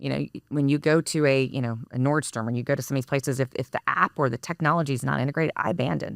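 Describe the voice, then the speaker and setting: Speaking with an American accent, a woman with a very deep, low voice and vocal fry talks at a very fast pace with hardly any pauses and fairly even intonation, in a dry, close sound with no echo on a very clean recording with a silent background. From Texas. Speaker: business executive. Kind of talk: podcast interview. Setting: recording studio.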